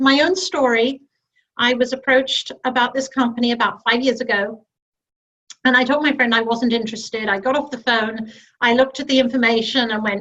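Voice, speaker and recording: A woman with a British accent speaks at a moderate pace in a high, bright, sharp tone with ordinary pitch variation. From UK. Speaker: network marketing director. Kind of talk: sales pitch.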